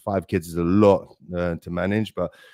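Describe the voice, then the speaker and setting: A man speaks with a South London accent. His pace is moderate. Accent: South London accent, noticeable. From South London, England. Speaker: design operations consultant and podcaster. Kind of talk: live webinar interview.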